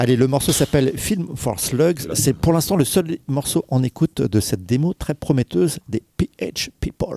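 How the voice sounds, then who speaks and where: A man's dark, mellow tone comes through dry and close, with no echo. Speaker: radio host. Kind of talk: casual chat.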